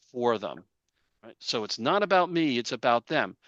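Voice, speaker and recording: A man speaks with lively intonation and a bright, sharp tone. The background is quiet. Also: dry, close sound with no echo. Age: 60s. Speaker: career coach. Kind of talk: webinar presentation. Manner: conversational.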